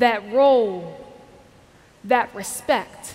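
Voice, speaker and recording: A woman's voice over music in the background. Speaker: spoken word poet. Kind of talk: spoken word poem performed to a conference audience. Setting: stage with audience. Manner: impassioned, rhythmic and emphatic, building to a rallying close. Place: stage. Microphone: headset.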